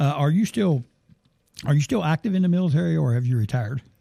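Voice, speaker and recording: Lively in intonation, a man speaks at a fairly quick pace with a fairly high pitch, a dark, mellow tone, and a somewhat breathy voice. The sound is dry and close, with no echo. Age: 60s. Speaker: sports talk show host. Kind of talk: interview. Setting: studio. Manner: halting.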